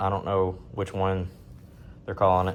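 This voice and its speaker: A man with a strong Southern US accent. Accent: thick Southern. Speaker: outdoors vlogger. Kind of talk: casual gear walkthrough vlog. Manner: casual, hesitant with many fillers.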